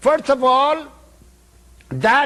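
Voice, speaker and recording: This man has an Indian accent and an extremely high pitch, using a raised, projected voice. His tone is bright and sharp. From Northern India. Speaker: yogi, spiritual teacher. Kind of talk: spiritual lecture.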